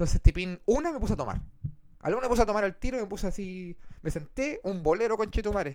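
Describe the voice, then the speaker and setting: A man with a high voice talks very fast, his intonation lively. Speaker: podcast host and streamer. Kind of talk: casual chat. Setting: live stream.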